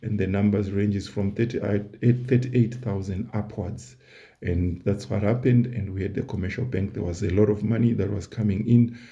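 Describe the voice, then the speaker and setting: A somewhat breathy man talks at a moderate pace, his pitch fairly low and his intonation fairly even. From Southern Africa. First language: not English. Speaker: YouTuber, history commentator. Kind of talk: casual educational monologue. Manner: conversational, repeats words.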